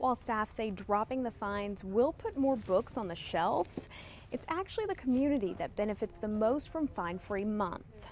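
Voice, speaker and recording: A woman with an American accent speaks in an ordinary speaking voice at a moderate pace. Her pitch is fairly high and her intonation lively. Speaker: television news reporter. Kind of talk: scripted TV news package voiceover.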